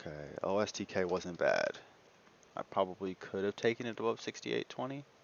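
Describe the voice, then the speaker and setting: A man speaks quietly. His pace is fairly quick. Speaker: day trader. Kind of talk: live trading commentary.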